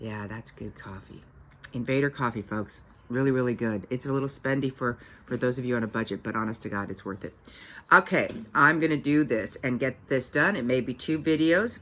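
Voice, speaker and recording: A woman's very deep, low voice at a fairly quick pace, with ordinary pitch variation and big jumps in volume. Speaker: vlogger. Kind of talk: casual vlog monologue. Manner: rambling with many fillers.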